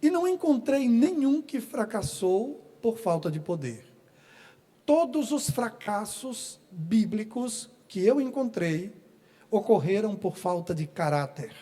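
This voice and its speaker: At a very slow pace, a man speaks at an extremely high pitch with very wide pitch swings and a dark, mellow tone. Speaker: pastor. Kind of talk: sermon. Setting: church.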